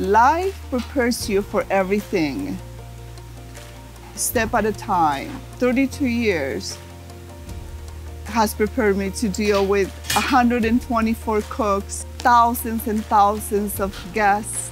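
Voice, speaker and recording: Very slow speech from a woman, with long, frequent pauses, a dry sound with no echo and clear music in the background. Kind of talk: interview answer. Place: hall. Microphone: lapel.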